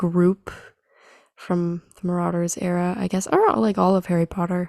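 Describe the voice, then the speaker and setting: This woman's voice sits at a medium pitch and carries a dark, mellow tone. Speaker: podcast co-host. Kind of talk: casual chat. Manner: casual, hesitant with fillers.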